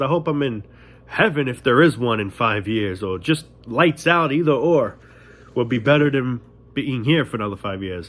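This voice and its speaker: With a New York accent, a man talks at a moderate pace with a medium pitch and lively intonation. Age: 20s. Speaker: vlogger. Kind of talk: casual monologue rant. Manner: animated.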